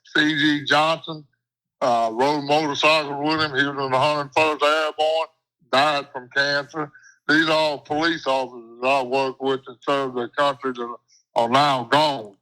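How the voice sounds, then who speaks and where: On a very clean recording with a silent background, a man with a fairly high pitch and a bright, sharp tone speaks at a moderate pace in a monotone, flat intonation. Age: 70s. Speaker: retired police detective and army veteran. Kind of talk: interview conversation.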